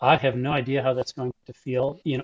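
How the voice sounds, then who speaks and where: A man with an American accent talks at a moderate pace and a fairly high pitch. His voice is somewhat breathy. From Buffalo, New York. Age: 60s. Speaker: long-distance cyclist and club ride organizer. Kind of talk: interview.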